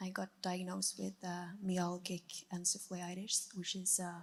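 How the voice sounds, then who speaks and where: Somewhat breathy and monotone, a woman with a Norwegian accent speaks at a medium pitch and a fairly slow pace, her intonation flat. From Norway. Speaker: audience member. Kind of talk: testimony.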